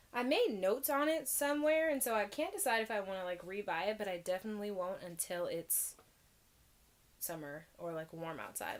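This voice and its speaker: Using an ordinary speaking voice, a woman talks at a moderate pace with a medium pitch and lively intonation. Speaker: tea vlogger. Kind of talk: casual vlog review. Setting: filming at home in her room. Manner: chatty with many fillers.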